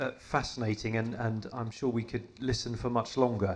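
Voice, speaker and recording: The man talks at a moderate pace with a medium pitch. Monotone, flat intonation marks his delivery. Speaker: event host and vicar. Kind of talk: event introduction and interview. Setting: theatre with audience.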